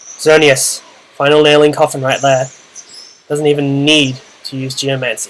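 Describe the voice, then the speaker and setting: This man speaks in an Australian accent at a fairly slow pace. His fairly high pitch stays monotone and flat. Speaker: video game commentator. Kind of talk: gameplay commentary. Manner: casual.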